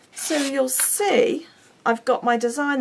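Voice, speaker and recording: The speaker is a woman. She has a British accent. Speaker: craft demonstrator. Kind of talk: tutorial. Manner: chatty; halting.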